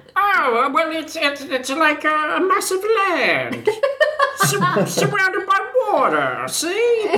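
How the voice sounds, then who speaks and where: Over clear background noise, a put-on character voice with an extremely high pitch moves at a very slow pace. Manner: smug, sarcastic.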